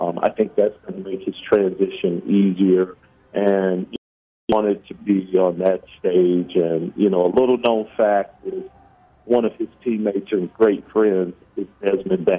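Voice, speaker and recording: A plain, everyday voice with an American accent at a fairly slow pace. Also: man, fairly low pitch for a man, fairly even intonation. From US Midwest (Kansas City, Missouri). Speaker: college basketball assistant coach. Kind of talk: radio interview.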